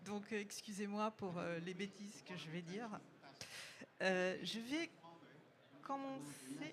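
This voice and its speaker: A woman of medium pitch with very wide pitch swings, a very slow pace and long, frequent pauses, amid audible room echo. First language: not French (speaking French). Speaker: company marketing executive, conference speaker. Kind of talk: conference presentation. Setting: conference room with audience.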